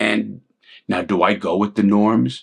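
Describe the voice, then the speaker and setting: A man speaks at a moderate pace. He has a New York accent. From New York City (Bronx, Brooklyn). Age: 60s. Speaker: ex-convict YouTuber and commentator. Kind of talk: casual commentary monologue. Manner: halting, repeated words; blunt and direct.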